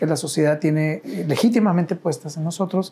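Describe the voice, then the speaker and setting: Pitched high, a man speaks with a dark, mellow tone and ordinary pitch variation. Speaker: university director of social impact, ethics professor. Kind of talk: interview. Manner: hesitant, many fillers and repetitions.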